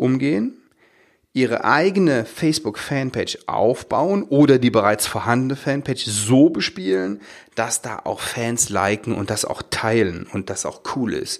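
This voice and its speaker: The recording is very clean, with a silent background. A man at medium pitch speaks at a moderate pace with lively intonation. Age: 40s. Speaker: podcast host, dental practice business coach. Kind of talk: solo podcast monologue. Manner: hesitant, with fillers and repetitions.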